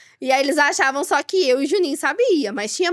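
The speaker is a woman with a high pitch. The background is quiet. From Brazil, Franca (São Paulo state); São Paulo state, Brazil. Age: 30s. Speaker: family food business executive; podcast guest. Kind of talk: interview. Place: studio. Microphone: studio mic.

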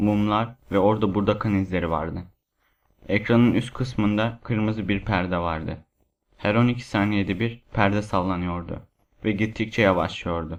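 Using a dramatic tone, a man speaks at a moderate pace with fairly even intonation. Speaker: voice actor narrating creepypasta. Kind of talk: ghost story telling, first-person horror narration. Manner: hushed, suspenseful, dramatic.

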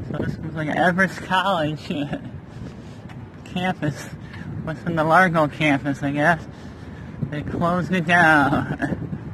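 A man's voice, dry with no echo, fairly even in intonation, over noticeable background noise. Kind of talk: casual vlog chat. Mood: curious, amused. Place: street. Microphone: phone near.

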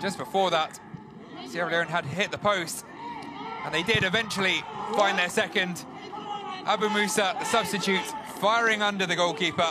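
Over noticeable background noise, a man uses a raised, projected voice with high pitch, fairly even intonation and a moderate pace, broken by long, frequent pauses. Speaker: football commentator. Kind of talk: football match highlights commentary. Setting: voiceover over match highlights.

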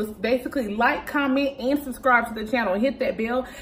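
A woman speaks at a fairly quick pace in a high voice. Her pitch varies in an ordinary way over light background noise. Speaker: vlogger. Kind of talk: casual vlog chat. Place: home room. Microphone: phone near.

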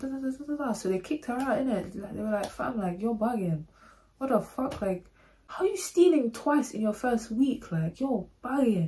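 A woman speaks with a London accent at a high pitch. Her intonation is lively and her pace moderate. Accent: Multicultural London English. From London, England. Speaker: YouTuber. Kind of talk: storytime monologue. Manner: animated. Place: home room. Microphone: phone near.

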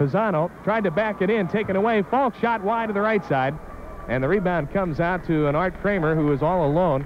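Light background noise behind a man's high-pitched voice, fairly quick in pace with ordinary pitch variation. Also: dry sound with no echo. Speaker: play-by-play announcer. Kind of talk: sports commentary. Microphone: old recording.

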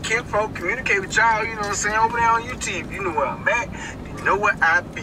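A man talks as noticeable noise runs in the background. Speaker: food vlogger. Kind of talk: casual vlog chat. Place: car. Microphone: camera far.

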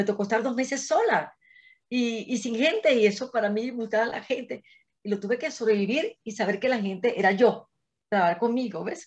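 Over a quiet background, a woman talks at a fairly quick pace and a fairly high pitch with ordinary pitch variation. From Venezuela, Caracas. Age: 60s. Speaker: engineer and astrologer; interview guest. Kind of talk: interview. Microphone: video call.

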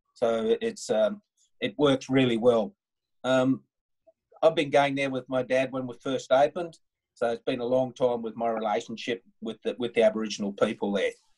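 Someone with an Australian accent talks at a moderate pace with ordinary pitch variation over a quiet background. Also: man, medium pitch for a man. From Northern Australia. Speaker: tour guide in Australia. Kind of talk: webinar presentation. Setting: video call. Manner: casual, informal. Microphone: video call.

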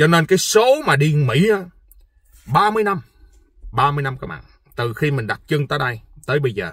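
A fairly high-pitched man, animated and fairly slow, with long, frequent pauses, in a dry sound with no echo and a quiet background. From Vietnam. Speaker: vlogger. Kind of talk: casual monologue vlog. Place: car.

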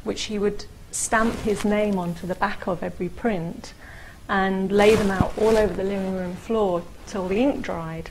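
Noticeable background noise sits behind a woman with a London accent. She keeps a moderate pace and fairly even intonation. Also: medium pitch for a woman. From England (London). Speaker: printmaker and art gallery manager. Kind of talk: interview answer. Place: studio.

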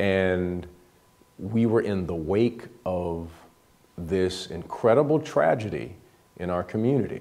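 A man talks very slowly with long, frequent pauses. His voice is very deep and low, dark and mellow in tone, with lively intonation. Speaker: pastor. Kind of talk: interview answer. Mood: reflective, grave. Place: studio. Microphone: lapel.

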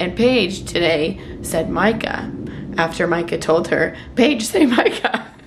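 Through noticeable background noise, a woman speaks with ordinary pitch variation. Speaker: vlogger and mom. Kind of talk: casual vlog chat. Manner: animated, chatty. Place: home room. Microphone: phone near.

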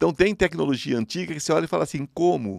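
A man's fairly quick speech with vocal fry and very wide pitch swings, dry with no echo, over a quiet background. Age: 50s. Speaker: spiritual medium; podcast guest. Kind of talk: interview. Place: studio. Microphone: studio mic.

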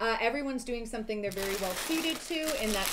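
Background noise stands out clearly while a woman talks. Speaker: livestream co-host. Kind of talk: casual livestream chat. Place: home room.

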